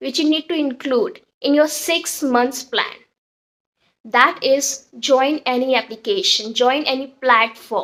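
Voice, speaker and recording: A woman speaks in a high pitch with an Indian accent. Her pace is fairly slow, and her pitch varies in an ordinary way. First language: Hindi. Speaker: English teacher. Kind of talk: tutorial. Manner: informal, with fillers.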